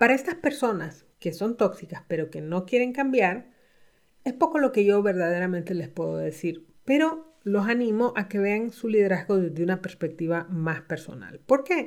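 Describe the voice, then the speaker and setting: A woman talks at a moderate pace with a medium pitch and very wide pitch swings. The recording is very clean with a silent background. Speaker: executive coach and podcast host. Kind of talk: solo podcast talk.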